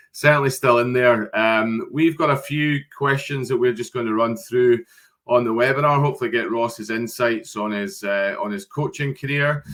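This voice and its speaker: In a Scottish accent, a man speaks with ordinary pitch variation. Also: medium pitch for a man, moderate pace. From Scotland. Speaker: webinar host for a sports recruitment agency. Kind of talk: webinar interview. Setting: video call.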